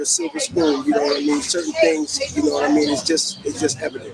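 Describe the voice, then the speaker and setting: A man speaks at a fairly quick pace while noticeable background noise runs underneath. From New York, Harlem. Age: 60s. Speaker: interviewee. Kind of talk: casual interview.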